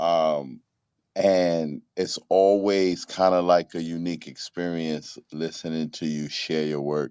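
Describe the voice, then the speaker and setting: A man speaks with a New York accent in a very deep, low pitch and a dark, mellow tone. His delivery is very slow and monotone, with flat intonation. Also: dry, close sound with no echo. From New York, Bronx. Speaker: co-host of poetry open mic. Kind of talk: casual chat and poetry critique. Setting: online audio room.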